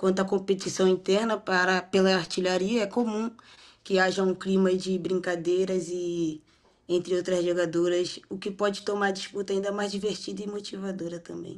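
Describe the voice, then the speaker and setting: This woman has a Rio de Janeiro accent. Her delivery is monotone and flat, at a moderate pace. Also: medium pitch for a woman. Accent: carioca. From Rio de Janeiro, Brazil. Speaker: women's football player. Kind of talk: interview. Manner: halting.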